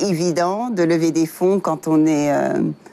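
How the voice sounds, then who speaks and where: A woman speaks at a very slow pace and a fairly low pitch. Noticeable background noise sits behind her. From Africa, various countries, then the US. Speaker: software engineer and tech entrepreneur. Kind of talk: interview. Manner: hesitant, many fillers.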